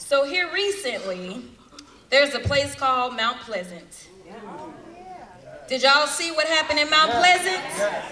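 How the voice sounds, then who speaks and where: A woman projects her voice at a high pitch and a fairly slow pace, her pitch swinging very widely, with long, frequent pauses and crowd noise behind her. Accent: American. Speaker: US congresswoman, political speaker. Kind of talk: political rally speech. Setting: rally in front of a crowd, microphone. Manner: passionate, impassioned.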